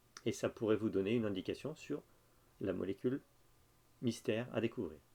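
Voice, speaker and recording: A man talks at a fairly quick pace with a medium pitch. His tone is dark and mellow, and his pitch variation is ordinary. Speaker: university lecturer. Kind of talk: lecture. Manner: hesitant, with fillers.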